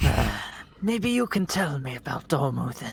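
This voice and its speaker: The voice is a put-on character. Its pace is moderate. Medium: actual play. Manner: curious.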